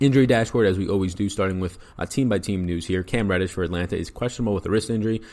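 A man with a New York accent, fairly low pitch, ordinary pitch variation and a very fast pace. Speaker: fantasy sports analyst. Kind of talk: podcast sports picks breakdown. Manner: fast talker.

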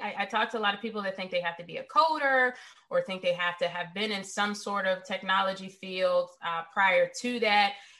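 Her medium pitch and bright, sharp tone mark this woman speaking with an American accent. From US South, Richmond, Virginia. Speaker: cybersecurity executive. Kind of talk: interview.

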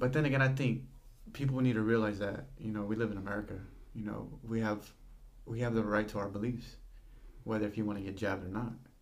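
A man speaks very fast with fairly even intonation, leaving long, frequent pauses. The room echo is audible. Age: young. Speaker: hardware store worker. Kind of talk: casual chat. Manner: halting.

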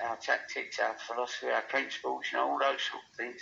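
A man speaks with an English accent. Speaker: football manager. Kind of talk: interview. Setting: phone call.

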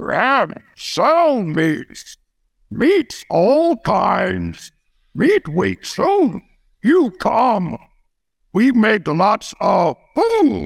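In a put-on character voice pitched high for a man, he speaks very slowly with long, frequent pauses. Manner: broken simple speech, eager.

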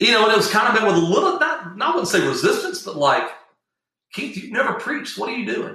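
A man talks in a raised, projected voice at an extremely high pitch. His pitch swings very widely and his pace is very fast. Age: 40s. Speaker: preacher. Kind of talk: interview testimony. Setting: video call.

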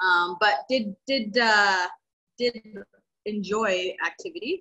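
A woman with a Western Canadian accent talks at a very slow pace with ordinary pitch variation. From Canada, Vancouver Island, British Columbia. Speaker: kettlebell athlete and coach. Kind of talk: casual interview.

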